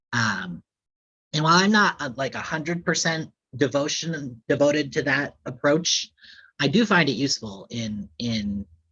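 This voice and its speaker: An unremarkable speaking voice with an American accent, fairly slow in pace and lively in intonation. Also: man. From Upstate New York and New England. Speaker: author. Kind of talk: author Q&A. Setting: library event with live audience.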